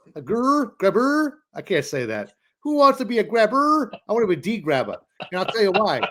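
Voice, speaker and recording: With a Boston accent, this man talks at a fairly quick pace in a high pitch, his bright, sharp, animated tone making very wide pitch swings. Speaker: land investing podcast co-host. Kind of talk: casual chat.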